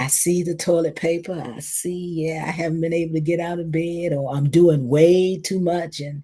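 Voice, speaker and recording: Somewhat breathy and dark, mellow in tone, a woman's voice moves at a moderate pace. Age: 70s. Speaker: community speaker and mindfulness teacher. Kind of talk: reflective talk. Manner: animated.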